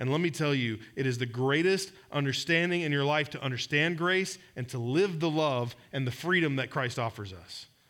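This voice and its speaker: Speaking at a moderate pace with hardly any pauses, a man uses a fairly high pitch and ordinary pitch variation. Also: very clean recording, silent background. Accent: Southern US. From Georgia, US South. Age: 40s. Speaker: pastor. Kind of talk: sermon. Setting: church.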